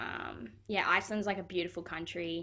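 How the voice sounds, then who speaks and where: A woman speaks with an Australian accent. Her pitch sits fairly low and her intonation stays fairly even. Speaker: professional footballer. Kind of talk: interview. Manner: casual, many fillers.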